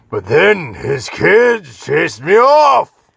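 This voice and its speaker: A raspy put-on character voice from a man, at a very slow pace. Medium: short film. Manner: swings between grand archaic and slangy.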